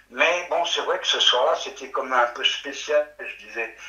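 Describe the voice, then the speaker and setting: A man speaks at a fairly slow pace. Room echo is audible around his voice. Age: 60s. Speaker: witness recounting sighting. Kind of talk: testimony. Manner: halting.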